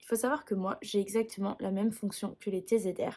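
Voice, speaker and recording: A woman with a fairly high pitch and a dark, mellow, somewhat breathy tone speaks at a moderate pace with fairly even intonation. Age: 20s. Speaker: music teacher. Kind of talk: personal vlog explanation.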